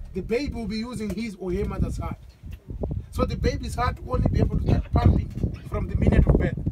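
Someone talks at a very fast pace over loud background noise. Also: man. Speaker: safari guide. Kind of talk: tour guide commentary. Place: open country. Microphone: camera far.

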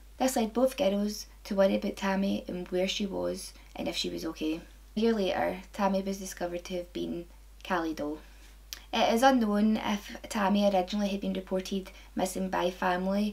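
A woman with a Scottish accent talks at a fairly quick pace. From Scotland. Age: 20s. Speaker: true crime video maker. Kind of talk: true crime narration to camera. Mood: calm, serious.

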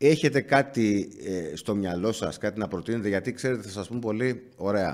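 At a moderate pace and with hardly any pauses, a man talks at a fairly low pitch with ordinary pitch variation. The background is quiet. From Greece. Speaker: journalist interviewer. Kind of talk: interview. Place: studio. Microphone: studio mic.

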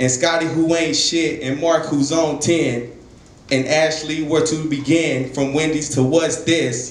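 A man at a fairly slow pace, fairly even in intonation, with audible room echo. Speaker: spoken word poet. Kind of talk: spoken word poetry performance. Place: stage.

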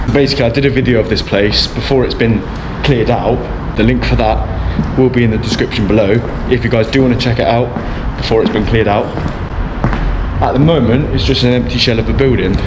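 Against noticeable background noise, a man speaks at a very fast pace. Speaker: urban explorer vlogger. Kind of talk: casual vlog chat. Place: factory. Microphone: phone near.

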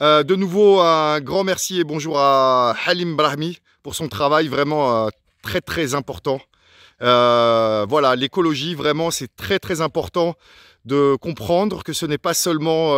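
A man at a very slow pace, with ordinary pitch variation, a dry sound with no echo and a quiet background. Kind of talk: casual vlog commentary. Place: open country. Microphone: phone near.

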